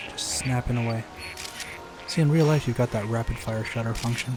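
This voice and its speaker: Music plays behind a man with a medium pitch and a relaxed tone. He moves at a moderate pace with fairly even intonation. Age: 30s. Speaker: gaming YouTuber and reviewer. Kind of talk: casual let's-play commentary. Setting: voiceover recorded after gameplay. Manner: soft-spoken ASMR delivery; relaxed, rambling with fillers.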